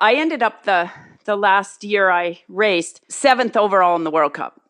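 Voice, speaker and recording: A woman with an ordinary speaking voice, medium pitch, lively intonation and a moderate pace. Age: 60s. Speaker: retired cross-country ski racer. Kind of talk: casual interview answers.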